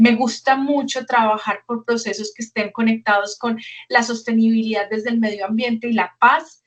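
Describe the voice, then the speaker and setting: At a moderate pace, a woman with a fairly high pitch speaks in a monotone, flat intonation. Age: 40s. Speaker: educational program coordinator. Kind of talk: webinar presentation.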